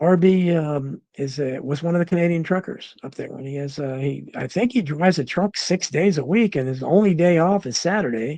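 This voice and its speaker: Talking at a fairly quick pace with hardly any pauses, a man has a fairly high pitch, a dark, mellow tone and ordinary pitch variation. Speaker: talk show host. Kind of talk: live stream chat reading viewer comments. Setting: live stream. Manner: halting, many fillers.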